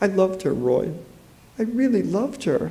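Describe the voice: Delivered at a fairly slow pace, a put-on character voice with a dark, mellow tone makes big pitch swings amid audible room echo. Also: man, high pitch for a man.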